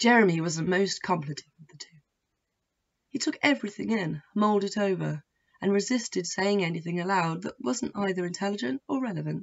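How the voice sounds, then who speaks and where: Using a normal speaking voice, a woman speaks at a medium pitch and a fairly quick pace with lively intonation. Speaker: author reading her own novel. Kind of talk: audiobook-style reading of own fiction, prologue.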